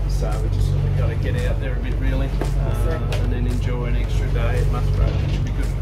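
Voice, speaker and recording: Someone speaks at a moderate pace over loud background music. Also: man. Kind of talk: casual vlog chat. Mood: relaxed, cheerful. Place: boat. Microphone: phone near.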